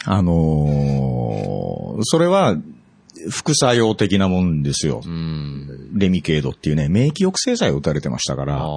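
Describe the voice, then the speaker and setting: A man's very deep, low voice at a fairly slow pace, with lively intonation and music in the background. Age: 50s. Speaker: music engineer. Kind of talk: casual chat.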